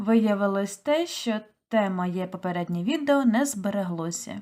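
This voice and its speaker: A woman speaks fairly slowly with lively intonation. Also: very clean recording, silent background. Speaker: toy knitter. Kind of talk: casual talk to camera.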